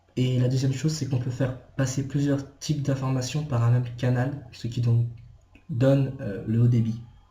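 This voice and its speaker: Monotone and flat, a man's medium-pitched voice moves at a moderate pace. Audible room echo fills the recording. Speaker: video blogger. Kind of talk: rant. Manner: halting.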